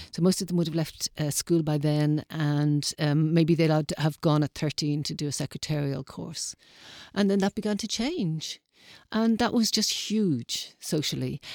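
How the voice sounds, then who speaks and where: A woman's very deep, low voice with a Dublin accent and ordinary pitch variation, dry and close with no echo, in a very clean recording against a silent background. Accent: Dublin Irish. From Ireland, Dublin. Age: 60s. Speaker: interviewee, community radio volunteer. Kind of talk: interview. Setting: studio.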